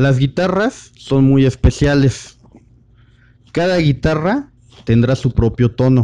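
A man with a fairly high pitch and a dark, mellow tone keeps very even loudness and ordinary pitch variation. He takes long, frequent pauses. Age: 30s. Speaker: guitar teacher. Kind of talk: online masterclass.

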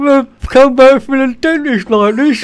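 Fairly slow delivery from a man in a put-on character voice, pitched extremely high. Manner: talking badly through oversized teeth.

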